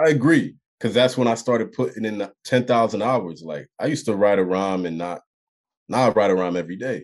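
At a fairly quick pace, this is an ordinary speaking voice with lively intonation. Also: man, fairly low pitch for a man. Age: 20s. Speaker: rapper. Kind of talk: casual chat.

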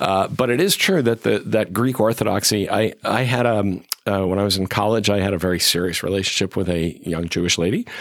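A man speaks at a fairly quick pace with an American accent, a normal speaking voice, fairly low pitch, ordinary pitch variation and very even loudness. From western Massachusetts. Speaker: professor of national security, author. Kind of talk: interview.

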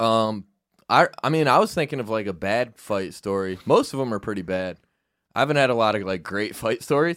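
A man with an American accent and a plain, everyday voice speaks at a fairly low pitch and a fairly quick pace. His intonation is lively, and the recording is very clean with a silent background. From upstate New York, near Syracuse. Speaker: comedian. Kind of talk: casual chat.

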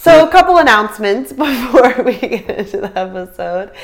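Noticeable background noise is audible throughout. A woman talks over it in an animated tone. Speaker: travel podcast co-host. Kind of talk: casual chat.

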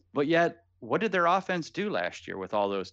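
Speaking in an American accent at a moderate pace, a man swings his pitch very widely against a quiet background. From US Midwest (Canton, Ohio). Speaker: fantasy football writer. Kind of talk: casual chat.

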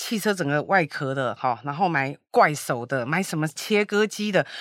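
On a very clean recording with a silent background, a woman's voice swings very widely in pitch. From Taiwan. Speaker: e-commerce founder. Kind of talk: interview.

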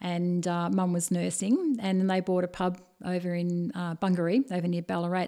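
A woman with an Australian accent talks at a fairly quick pace in a dark, mellow tone. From Australia, Bendigo (Victoria). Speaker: tea business owner. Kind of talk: interview.

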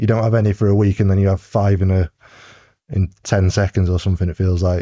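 Dry and close with no echo over a quiet background, the voice is somewhat breathy and dark and mellow in tone, moving at a fairly quick pace with monotone, flat intonation. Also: man. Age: 30s. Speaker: cycling team mechanic. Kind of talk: casual chat.

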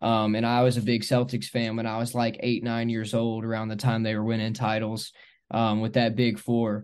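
Against a quiet background, a man with an American accent and medium pitch speaks at a moderate pace in a monotone, flat intonation. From Northern Kentucky, US. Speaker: basketball team staff, former student manager. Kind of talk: casual interview.

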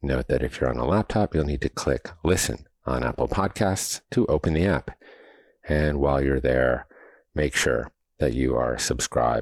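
A man with a very deep, low pitch and vocal fry talks at a moderate pace, his loudness very even and his pitch variation ordinary, in a dry, close sound with no echo. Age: 50s. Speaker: podcast host. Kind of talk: interview; scripted promo read.

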